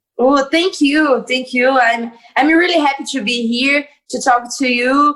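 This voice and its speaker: Speaking with a Portuguese accent, a woman uses a high pitch. Her pace is fairly slow. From Brazil. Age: 20s. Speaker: MMA fighter. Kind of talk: interview. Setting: video call. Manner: cheerful, animated; halting non-native English.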